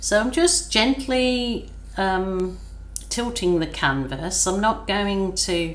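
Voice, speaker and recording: In a room with audible echo and noticeable background noise, a woman speaks at a very slow pace. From England, Birmingham. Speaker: acrylic pouring artist. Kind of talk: art tutorial. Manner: relaxed, slow.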